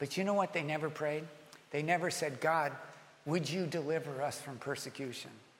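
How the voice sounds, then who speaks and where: This man talks at a fairly quick pace with fairly even intonation and a fairly high pitch. There is audible room echo. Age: 60s. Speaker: pastor. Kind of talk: sermon. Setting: church.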